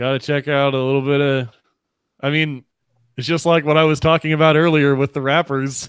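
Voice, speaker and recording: The sound is dry and close, with no echo. Intonation stays fairly even at a moderate pace. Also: man. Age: 30s. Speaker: podcast host. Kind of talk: casual chat.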